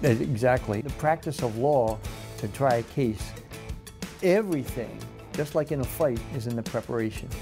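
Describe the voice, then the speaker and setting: Ordinary pitch variation and long, frequent pauses mark speech at a moderate pace, with clear music in the background. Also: man, medium pitch for a man. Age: 70s. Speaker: lawyer and police officer. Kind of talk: interview answer. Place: office. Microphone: lapel.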